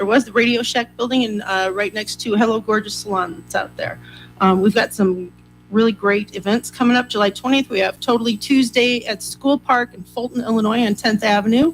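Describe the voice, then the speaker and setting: A woman's fairly high voice with music in the background. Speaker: chamber of commerce representative. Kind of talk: community announcements. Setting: studio. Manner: fast.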